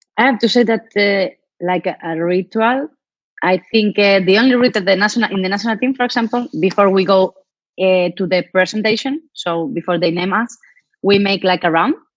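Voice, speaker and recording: A woman with a Spanish accent speaks fairly quickly at a medium pitch, with ordinary pitch variation. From Spain. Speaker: professional handball player. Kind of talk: interview Q&A. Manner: halting.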